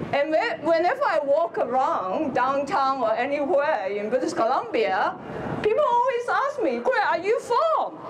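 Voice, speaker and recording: With a Hong Kong accent, a woman speaks at an extremely high pitch with very wide swings, amid audible room echo and noticeable background noise. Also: moderate pace, very even loudness. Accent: Hong Kong Chinese. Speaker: politician. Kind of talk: rally speech. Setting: outdoor rally with crowd.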